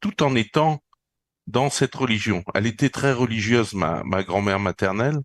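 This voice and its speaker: The pitch varies in an ordinary way, with a dry, close sound, no echo, and a quiet background. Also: man. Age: 60s. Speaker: retired police officer and energy healer. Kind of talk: interview. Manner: halting, many repetitions and fillers.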